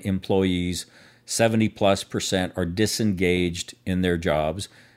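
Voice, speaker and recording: A man's very deep, low voice at a fairly slow pace, on a very clean recording with a silent background. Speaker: radio co-host and workplace culture consultant. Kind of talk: radio interview. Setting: radio studio. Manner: loud.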